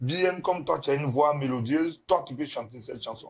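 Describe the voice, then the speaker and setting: A man speaks in a somewhat breathy voice with a fairly high pitch. His pitch variation is ordinary. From Ivory Coast. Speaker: zouglou singer. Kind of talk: interview.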